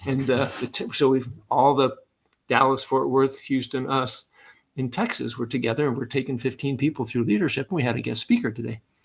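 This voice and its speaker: Using an ordinary speaking voice, a man at medium pitch talks at a fairly quick pace with fairly even intonation. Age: 60s. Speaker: leadership coach and retired Air Force officer. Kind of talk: podcast interview.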